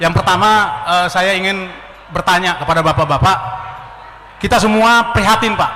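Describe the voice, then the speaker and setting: The voice is raised and projected. Noticeable background noise sits behind it. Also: man. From Ternate, North Maluku. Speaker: former army officer. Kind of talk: audience question at a public forum. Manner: halting, with fillers.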